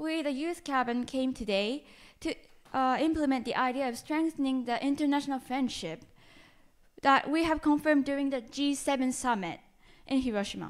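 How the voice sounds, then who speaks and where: With a Japanese accent, a woman speaks in a high pitch with ordinary pitch variation. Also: moderate pace, quiet background. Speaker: university student. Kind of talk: presentation. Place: hall. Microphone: handheld.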